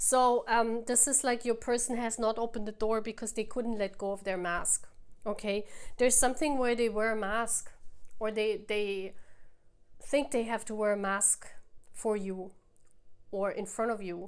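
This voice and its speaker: Speaking with a non-native accent, the voice moves at a fairly slow pace with long, frequent pauses. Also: woman. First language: not English. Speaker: tarot reader. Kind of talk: tarot reading to camera. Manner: animated; halting.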